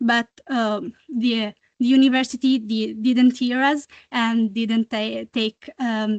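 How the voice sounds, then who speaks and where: A woman with an Italian accent speaks very slowly at a fairly high pitch in a monotone, flat intonation. The sound is dry and close with no echo. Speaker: student activist. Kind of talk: audience comment at a meeting. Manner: halting, many fillers.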